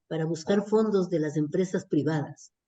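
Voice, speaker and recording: A woman's dark, mellow voice at a moderate pace, with ordinary pitch variation. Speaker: nutrition and public health expert. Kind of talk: online workshop Q&A discussion.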